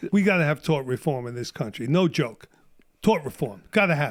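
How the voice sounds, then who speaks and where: Animated and at a moderate pace, a man with a New York accent speaks fairly high, his intonation lively and his loudness swinging widely. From Brooklyn, New York. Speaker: Vietnam War veteran. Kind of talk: podcast interview answer. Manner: animated, ranting.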